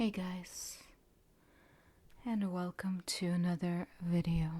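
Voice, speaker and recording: The voice is soft-spoken, with a gentle tone. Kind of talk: ASMR book flip, relaxation narration. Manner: soft-spoken, gentle.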